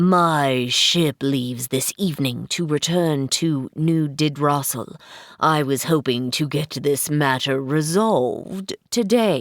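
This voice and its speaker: A woman in a put-on character voice speaks at a fairly slow pace with a very deep, low pitch, very even loudness and hardly any pauses. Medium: read story. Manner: formal, haughty.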